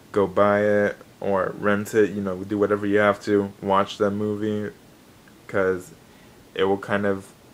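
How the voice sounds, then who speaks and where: Here a man speaks with a fairly low pitch and monotone, flat intonation. There is noticeable background noise. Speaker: gaming and anime YouTuber. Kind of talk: casual vlog news update. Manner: hesitant, many fillers.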